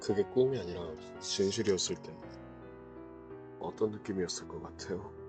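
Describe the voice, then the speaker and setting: Music plays behind a man speaking at a very deep, low pitch. His pitch varies in an ordinary way, with long, frequent pauses. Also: moderate pace. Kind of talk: ASMR voice-recording monologue.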